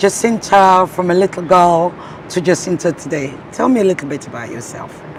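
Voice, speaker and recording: Over noticeable background noise, a woman with a Nigerian accent and a fairly low pitch speaks at a moderate pace, with lively intonation and big swings in loudness. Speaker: radio broadcaster. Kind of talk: interview.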